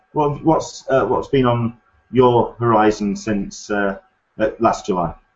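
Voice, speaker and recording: With an English accent, a man speaks at a very slow pace in a medium pitch, his intonation lively and broken by long, frequent pauses. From England. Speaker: podcast host. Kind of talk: casual chat. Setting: video call.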